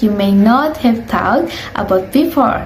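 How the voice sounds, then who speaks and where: Lively female intonation against noticeable background noise. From Indonesia. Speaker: university student. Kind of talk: educational video narration.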